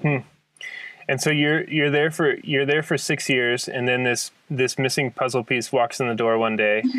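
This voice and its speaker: A man with an American accent and a plain, everyday voice, medium pitch, fairly even intonation, very even loudness and a moderate pace. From Kansas. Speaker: podcast host. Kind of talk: casual interview conversation.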